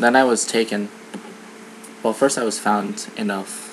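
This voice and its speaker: Against noticeable background noise, a man with an American accent speaks at a fairly slow pace in a monotone, flat intonation. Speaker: vlogger. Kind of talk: personal vlog monologue. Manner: hesitant, many fillers.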